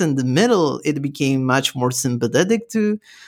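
A man talks with ordinary pitch variation. His recording is very clean, with a silent background. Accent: Spanish. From Peru. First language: Spanish. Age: 20s. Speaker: podcast host. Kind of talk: interview. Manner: halting, many repetitions.

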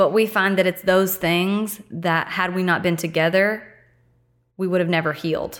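A woman with an American accent, medium pitch, a moderate pace and monotone, flat intonation. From US small town. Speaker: podcast guest. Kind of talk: casual chat.

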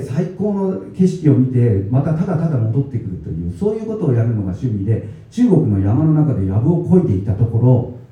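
A man talks at a moderate pace with hardly any pauses and very wide pitch swings. Audible room echo and noticeable background noise fill the recording. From Tokyo (Higashiyamato). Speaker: baker and author. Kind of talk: talk at a book event. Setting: event venue with live audience.

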